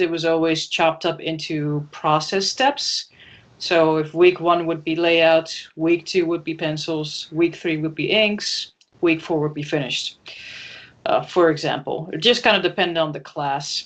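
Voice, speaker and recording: A woman with a Dutch accent speaks at a moderate pace and a fairly low pitch. Her intonation is fairly even, over a quiet background. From Netherlands, Amsterdam. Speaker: comic book artist. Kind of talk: interview.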